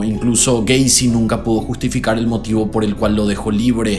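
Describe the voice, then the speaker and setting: Over music in the background, a man speaks in a fairly low pitch at a moderate pace. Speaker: YouTube host. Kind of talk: true crime narration to camera. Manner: casual, conversational.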